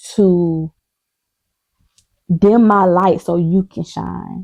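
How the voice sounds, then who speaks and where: Her pitch sits in the medium range for a woman. She speaks at a very slow pace. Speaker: vlogger. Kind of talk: casual chat. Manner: loud; animated.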